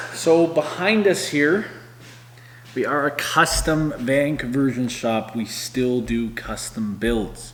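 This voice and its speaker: Over noticeable background noise, a man with a Canadian accent talks with a fairly high pitch and lively intonation. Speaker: van conversion shop owner, vlogger. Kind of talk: casual vlog talk to camera. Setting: van conversion shop. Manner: casual with many fillers.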